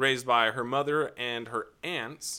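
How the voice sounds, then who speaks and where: In a very clean recording with a silent background, a man speaks in a playful, bright, sharp tone with fairly even intonation. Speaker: nurse and podcast host. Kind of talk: casual banter. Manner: joking, playful.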